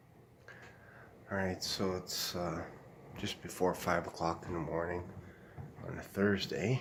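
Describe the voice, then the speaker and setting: Whispering at a very slow pace, a man is heard amid noticeable background noise and audible room echo. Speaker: aspiring writer vlogger. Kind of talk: casual vlog. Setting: at home early morning. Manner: halting, many fillers.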